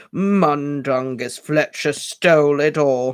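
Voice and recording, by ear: A man's put-on character voice, croaky and fairly high-pitched, at a very slow pace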